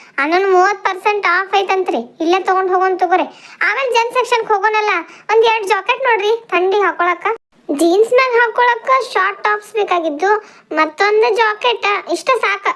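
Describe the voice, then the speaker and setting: A woman uses a cartoonish character voice with an extremely high pitch. She speaks at a moderate pace with ordinary pitch variation. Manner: chatty.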